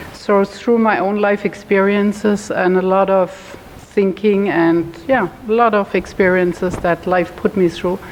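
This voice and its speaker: Speaking fairly slowly with a slight German accent, a woman keeps a medium pitch, fairly even intonation and very even loudness against noticeable background noise. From Germany. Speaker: holistic health educator. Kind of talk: talk to a support group; guided meditation. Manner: slow, calm.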